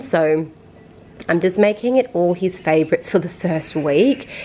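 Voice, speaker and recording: A woman's medium-pitched voice in an Australian accent, dark and mellow in tone. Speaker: vlogger. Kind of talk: casual vlog talk. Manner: fast; chatty.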